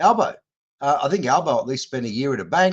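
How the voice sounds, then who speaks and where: Here a man speaks with an Australian accent. His pace is moderate and his intonation lively. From Western Sydney, Australia. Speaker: political candidate. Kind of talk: interview.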